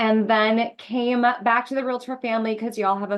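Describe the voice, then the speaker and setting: A woman speaks with a Minnesota accent. Her pitch is fairly high. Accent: Minnesota (Upper Midwest). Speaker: association executive. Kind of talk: interview. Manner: casual, lots of filler words.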